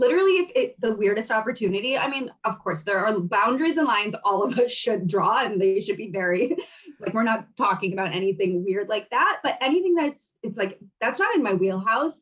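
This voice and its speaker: Fairly quick and lively in intonation, a woman speaks in a fairly high voice. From US, grew up in ex-Soviet immigrant community. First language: Russian. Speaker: fashion brand founder and travel blogger. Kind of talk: podcast interview. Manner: casual, many fillers like 'like' and 'um'.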